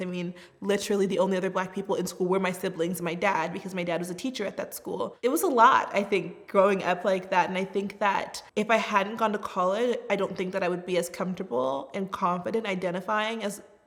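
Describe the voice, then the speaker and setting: A woman's medium-pitched voice with an American accent, very fast with hardly any pauses and fairly even intonation, over noticeable background noise. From US Southwest, Tucson, Arizona. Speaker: refugee resettlement worker. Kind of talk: personal testimony. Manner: casual, conversational.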